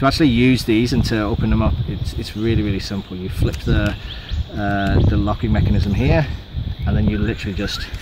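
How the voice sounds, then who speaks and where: Against loud background noise, a man talks at a fairly quick pace with ordinary pitch variation. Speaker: hiker reviewing gear. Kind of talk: gear review talk. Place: forest.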